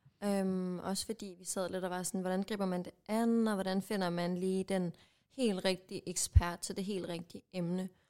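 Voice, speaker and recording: A woman with a dark, mellow tone talks in a monotone, flat intonation. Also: medium pitch for a woman, moderate pace. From Jutland, Denmark. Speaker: podcast co-host. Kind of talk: casual chat.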